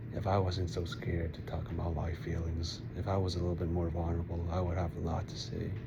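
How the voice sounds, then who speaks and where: A man talks very fast and quietly, with hardly any pauses and fairly even intonation. His pitch is very deep and low, and there is noticeable background noise plus audible room echo. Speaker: vlogger. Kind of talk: personal vlog monologue. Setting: outdoors at night. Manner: quiet, keeping voice down; halting, many fillers.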